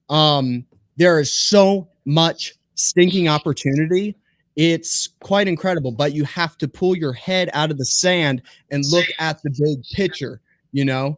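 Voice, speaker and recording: A man with an American accent speaks at a fairly slow pace in an unremarkable speaking voice, fairly high in pitch with ordinary pitch variation, on a very clean recording with a silent background and a dry, close sound with no echo. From US Northeast. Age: young. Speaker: young homesteader and podcaster. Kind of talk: casual chat.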